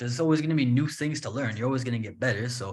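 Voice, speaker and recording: Somewhat breathy, a man talks at a very fast pace and medium pitch with ordinary pitch variation. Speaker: English teacher. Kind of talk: podcast interview host. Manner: tired.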